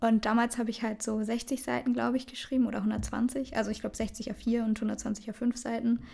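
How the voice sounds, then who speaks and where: The tone is dark and mellow, with vocal fry. Delivery is fairly quick and monotone, with flat intonation. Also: woman, fairly high pitch for a woman, hardly any pauses. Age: 20s. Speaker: podcast co-host, student. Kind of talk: casual chat. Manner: laughing often.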